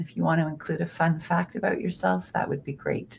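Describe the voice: Speaking at a fairly quick pace, a woman with a fairly low pitch uses fairly even intonation and vocal fry.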